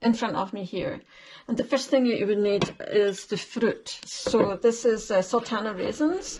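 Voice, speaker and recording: The speaker, in a Scottish accent, keeps a moderate pace with ordinary pitch variation. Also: woman. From Scotland. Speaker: home cook. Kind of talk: tutorial.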